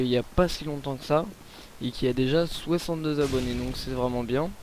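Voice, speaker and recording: This man's pitch is fairly high and his intonation fairly even. He keeps a moderate pace. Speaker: gaming commentator. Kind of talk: gameplay commentary. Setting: at home late at night. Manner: hesitant, many fillers.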